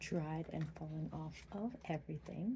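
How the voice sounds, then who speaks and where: Soft-spoken, a woman talks at a very slow pace. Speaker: mother. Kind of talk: ASMR tutorial talk to camera.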